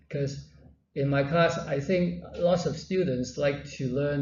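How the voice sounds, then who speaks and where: Amid audible room echo, a man speaks at a fairly slow pace in a somewhat breathy, fairly high voice with ordinary pitch variation. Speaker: university lecturer. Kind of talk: lecture. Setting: classroom with students. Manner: halting.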